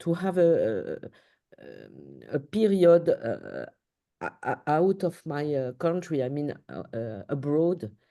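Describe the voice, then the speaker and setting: In a French accent, a woman speaks very slowly at a very deep, low pitch with a dark, mellow tone. Her intonation is lively, and the background is quiet. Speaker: paediatric surgeon. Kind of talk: interview. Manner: halting.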